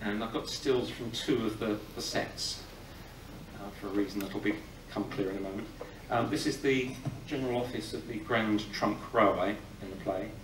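With noticeable background noise, a man speaks at a moderate pace in a fairly low pitch and fairly even intonation. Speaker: film historian. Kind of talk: live talk introducing a film screening. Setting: live audience in a cinema. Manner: humorous, irreverent, informed; hesitant, with many filler sounds. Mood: relaxed, gently humorous. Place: hall. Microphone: podium.

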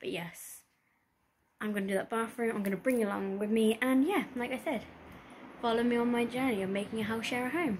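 Light background noise sits behind a woman speaking at a fairly high pitch. Her voice is somewhat breathy, and her fairly quick pace is broken by long, frequent pauses. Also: ordinary pitch variation. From UK. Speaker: lifestyle vlogger. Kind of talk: casual talk to camera. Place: home room. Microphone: phone near.

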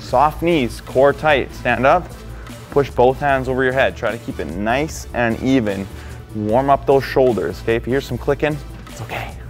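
Faint background music accompanies a man talking at a moderate pace. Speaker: fitness trainer. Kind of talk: tutorial. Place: gym. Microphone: lapel.

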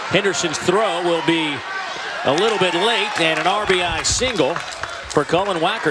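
A man with a high pitch talks at a moderate pace over noticeable background noise. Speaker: baseball play-by-play announcer. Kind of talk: live sports commentary, highlight reel. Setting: stadium broadcast during rain and lightning delay. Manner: matter-of-fact, self-correcting.

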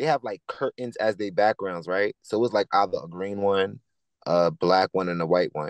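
With a New York accent, a man speaks at a moderate pace in a fairly low voice with ordinary pitch variation, the sound dry with no echo against a quiet background. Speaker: choreographer and musician; guest. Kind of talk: casual interview. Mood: relaxed, animated storytelling. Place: car. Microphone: video call.

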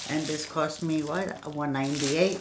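Noticeable noise runs behind a woman as she talks. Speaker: unboxing vlogger. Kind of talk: casual vlog chat. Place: home room. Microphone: webcam.

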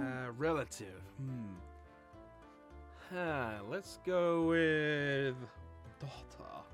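With music playing in the background, a man talks at a very slow pace. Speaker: voice actor / gaming YouTuber host. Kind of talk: casual gaming banter, hosting a Mad Libs game.

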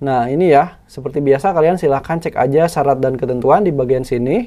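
A man's dark, mellow voice at fairly high pitch, moderate pace and ordinary pitch variation. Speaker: YouTuber reviewing finance apps. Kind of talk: app tutorial screen walkthrough. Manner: casual, conversational.

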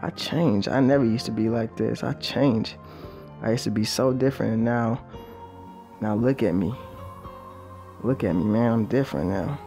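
With music in the background, a man at a medium pitch speaks with long, frequent pauses. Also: lively intonation, moderate pace. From Belize. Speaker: musician. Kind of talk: documentary interview monologue. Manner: reflective, casual.

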